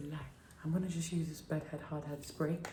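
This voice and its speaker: A woman speaks with a British accent. Light background noise and audible room echo are present. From UK. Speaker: beauty vlogger. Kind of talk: tutorial. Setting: home kitchen at night. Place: kitchen. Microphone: phone near.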